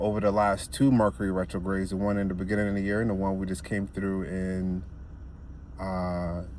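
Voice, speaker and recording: A man's very deep, low voice at a fairly quick pace, with audible room echo. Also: ordinary pitch variation. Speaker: spiritual self-help vlogger. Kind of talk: casual monologue.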